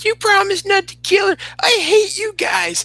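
This put-on character voice sits at an extremely high pitch and sounds whiny. There is hissing throughout. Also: moderate pace. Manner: whiny, hissy, upset.

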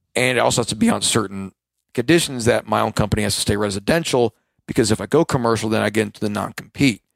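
On a very clean recording with a silent background and a dry, close sound with no echo, a man talks at a very fast pace in a fairly low pitch with vocal fry and ordinary pitch variation. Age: 20s. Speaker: lawn and landscape business owner. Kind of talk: casual interview chat.

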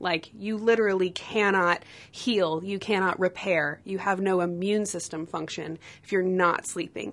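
A woman with an ordinary speaking voice talks fairly slowly at a medium pitch, her intonation fairly even. Her loudness swings widely against a quiet background. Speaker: health coach and A S M R artist. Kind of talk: recorded interview.

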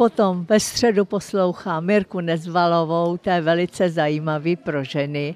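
Over a quiet background, a woman speaks with a fairly low pitch. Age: 80s+. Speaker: radio listener. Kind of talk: vox pop interview.

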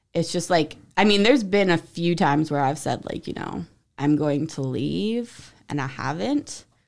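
A woman with an American accent speaks at a very deep, low pitch and moderate pace, with lively intonation and vocal fry, on a very clean recording with a silent background. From Central New Jersey. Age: 30s. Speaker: podcast guest. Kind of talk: casual chat.

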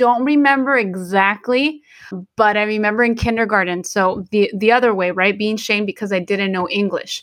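A woman with a Spanish accent speaks at a moderate pace. Her pitch is fairly high, with ordinary pitch variation. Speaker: podcast co-host. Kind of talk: casual bilingual chat. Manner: halting, many fillers.

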